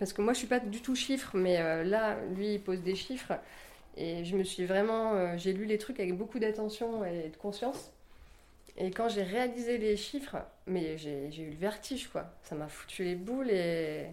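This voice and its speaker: Audible room echo surrounds this fairly slow delivery with ordinary pitch variation. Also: woman, medium pitch for a woman. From rural France. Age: 40s. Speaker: office worker and yoga teacher. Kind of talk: casual interview at home. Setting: home kitchen. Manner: hesitant, many fillers.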